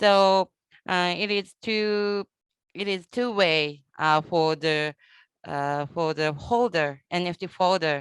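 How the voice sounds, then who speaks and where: A woman with a Japanese accent speaks very slowly at a fairly low pitch, her intonation fairly even. The recording is very clean and dry, close with no echo, over a silent background. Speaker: conference moderator. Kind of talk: casual chat. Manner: halting.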